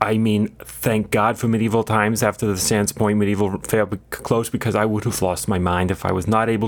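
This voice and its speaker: A man talks in a fairly low pitch with fairly even intonation. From Long Island, New York. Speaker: comedy podcast co-host. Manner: deadpan absurd humor.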